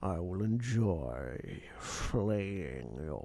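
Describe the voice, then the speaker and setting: A man performs in a put-on character voice. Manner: menacing.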